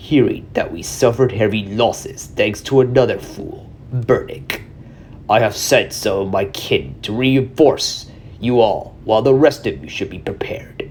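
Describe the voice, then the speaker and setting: A man speaks at a moderate pace in a put-on character voice with a menacing tone. Background noise is clearly audible. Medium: read story. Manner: authoritative, menacing.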